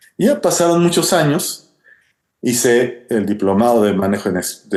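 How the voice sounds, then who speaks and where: The man's voice moves in very wide pitch swings. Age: 60s. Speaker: wildlife biologist and professor. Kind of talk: interview answers, storytelling. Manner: hesitant with fillers.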